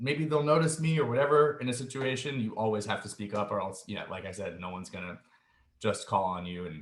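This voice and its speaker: A somewhat breathy man's voice at a medium pitch, fairly quick in pace, with very wide pitch swings. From US, child of Soviet Latvian immigrants. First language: Russian. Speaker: musician. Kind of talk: interview. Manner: hesitant, many fillers.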